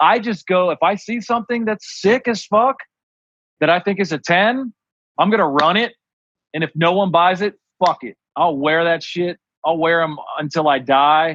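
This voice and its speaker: A man speaks at a moderate pace in a high pitch, with long, frequent pauses. The sound is dry and close, with no echo. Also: ordinary pitch variation. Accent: Ohio. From Ohio. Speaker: clothing designer. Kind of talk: casual chat. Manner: animated.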